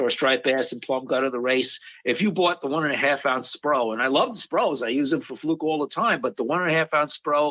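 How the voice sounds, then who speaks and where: In an American accent, a man with an ordinary speaking voice talks at a fairly quick pace and a fairly high pitch. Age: 60s. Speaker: fishing charter captain. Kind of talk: casual podcast interview. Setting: podcast recording.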